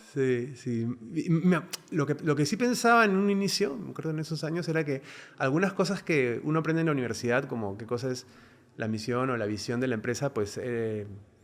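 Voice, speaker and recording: A man with a fairly high pitch speaks at a fairly quick pace with lively intonation. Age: 40s. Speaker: business executive. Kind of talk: interview. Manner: hesitant, many fillers; calm, even-tempered.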